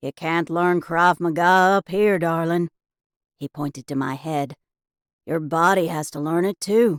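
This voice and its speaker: A female-sounding voice puts on a drawling character voice at a middle pitch and moderate pace. The recording is very clean with a silent background. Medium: read story. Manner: drawling, blunt.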